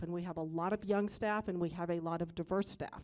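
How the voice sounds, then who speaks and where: A woman with a plain, everyday voice speaks at medium pitch with fairly even intonation in a very clean recording with a silent background. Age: middle-aged. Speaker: news executive. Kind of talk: panel discussion.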